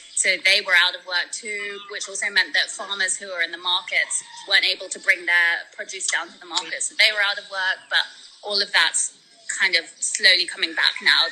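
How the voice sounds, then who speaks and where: With background noise clearly audible, a woman's fairly quick speech keeps a fairly level intonation. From born in Spain, raised in London. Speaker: world traveler and charity fundraiser. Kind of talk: casual interview chat. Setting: video call from the Philippines.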